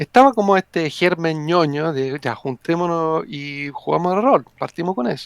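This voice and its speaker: A fairly slow pace and ordinary pitch variation, in a dry, close sound with no echo, on a very clean recording against a silent background. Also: man. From Italy. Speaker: psychologist and wargamer. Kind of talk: podcast interview.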